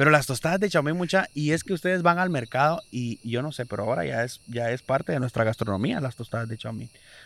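On a very clean recording with a silent background, a man at a medium pitch talks at a very fast pace, with lively intonation and hardly any pauses. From Guatemala. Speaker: podcast host. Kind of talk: casual chat. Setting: outdoors.

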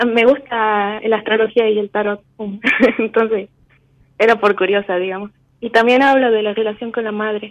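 Speaking at a moderate pace with long, frequent pauses, a woman uses a fairly high pitch and a monotone, flat intonation. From Argentina, Tucumán. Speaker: caller. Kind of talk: phone call consultation.

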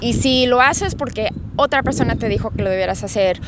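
Over noticeable background noise, a woman talks at a moderate pace. Her pitch varies in an ordinary way. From Guadalajara, Mexico. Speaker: cosmetics brand founder, former lawyer. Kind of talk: interview. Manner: halting, with many fillers.

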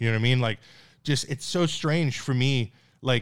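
In a very clean recording with a silent background, a man with a medium-pitched voice and lively intonation speaks at a moderate pace. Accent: Newfoundland. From Newfoundland, Canada. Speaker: stand-up comedian. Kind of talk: casual chat.

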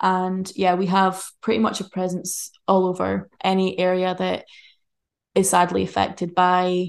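A woman's ordinary speaking voice, medium in pitch and moderate in pace, over a quiet background. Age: 20s. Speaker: charity worker in the humanitarian field. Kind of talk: casual interview chat. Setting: in person at home, living room.

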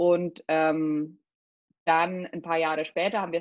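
A woman with an unremarkable speaking voice talks at a fairly low pitch, her intonation fairly even. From Germany, Spessart (Lower Franconia). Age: 30s. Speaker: personal trainer and nutrition coach. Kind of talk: casual interview chat.

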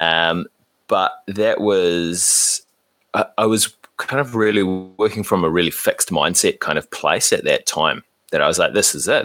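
A man speaks with a New Zealand accent. The sound is dry and close, with no echo. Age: 30s. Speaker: podcaster. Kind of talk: casual chat.

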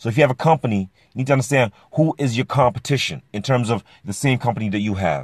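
A man's energetic, very fast delivery at a medium pitch with ordinary pitch variation and vocal fry, over a quiet background with a dry, close sound and no echo. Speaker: podcast host and business owner. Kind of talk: motivational monologue. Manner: energetic, emphatic.

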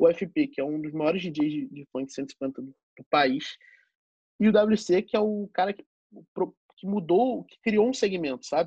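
A man speaks with a Rio de Janeiro accent. His tone is dark and mellow. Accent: Carioca Brazilian Portuguese. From Rio de Janeiro, Zona Norte. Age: 20s. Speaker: DJ. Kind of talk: casual chat.

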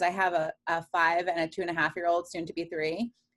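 A woman with an American accent speaks in a fairly low pitch with monotone, flat intonation. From Queens, New York. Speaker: real estate agent. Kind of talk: interview.

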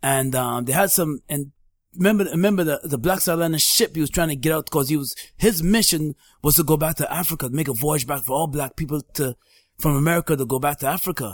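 At a very fast pace, a man speaks in a somewhat breathy, fairly high voice with ordinary pitch variation, captured dry and close with no echo. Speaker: podcast host. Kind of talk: casual chat.

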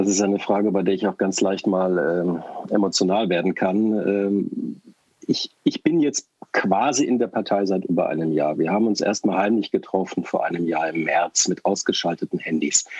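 In a normal speaking voice, a man talks at a moderate pace with fairly low pitch, ordinary pitch variation and very even loudness, recorded dry and close with no echo. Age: 50s. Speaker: party board member. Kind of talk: interview.

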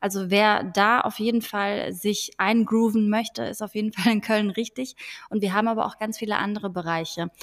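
A woman's normal speaking voice, fairly high in pitch, at a moderate pace with fairly even intonation. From Frankfurt am Main, Germany. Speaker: podcast host, law graduate from media industry. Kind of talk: casual chat.

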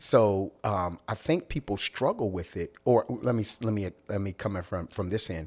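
With an American accent and an ordinary speaking voice, a man speaks at a moderate pace and fairly low pitch, with ordinary pitch variation and hardly any pauses, on a very clean recording with a silent background. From US, Philadelphia. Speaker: minister and certified coach. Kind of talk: casual chat.

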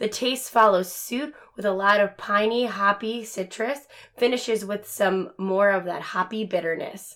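An ordinary speaking voice with fairly even intonation moves at a moderate pace on a very clean recording with a silent background. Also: woman, medium pitch for a woman. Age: 20s. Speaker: podcast co-host. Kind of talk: casual chat. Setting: at home in front of a TV.

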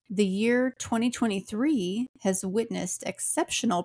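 Somewhat breathy and at a fairly slow pace, a woman speaks with ordinary pitch variation in a dry, close sound with no echo. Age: 40s. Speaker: podcast host. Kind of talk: casual chat.

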